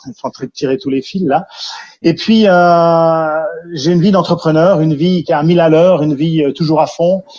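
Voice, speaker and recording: Fairly high in pitch, a man with a Jura accent talks at a moderate pace with fairly even intonation. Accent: Swiss French (Jura). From Switzerland, Jura region. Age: 50s. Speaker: care centre founder, entrepreneur. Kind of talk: testimony interview. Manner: hesitant, many fillers.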